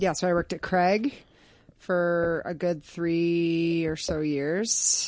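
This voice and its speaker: The speaker has an American accent and talks at a very slow pace. The intonation stays fairly even. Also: woman, fairly low pitch for a woman. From New York State. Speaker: speech therapist. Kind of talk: casual interview. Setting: home basement.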